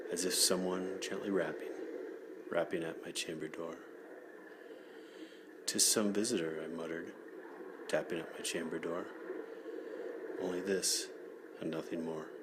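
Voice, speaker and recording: Noticeable background noise sits behind a man whose speech breaks into long, frequent pauses. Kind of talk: poetry reading. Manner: soft-spoken, relaxing, slow.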